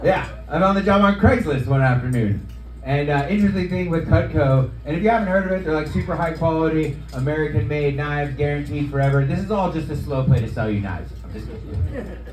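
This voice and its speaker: The speech comes at a very fast pace with lively intonation. Audible room echo and noticeable background noise fill the recording. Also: man, fairly high pitch for a man. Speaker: stand-up comedian and knife salesman. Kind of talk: stand-up. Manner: loud; animated.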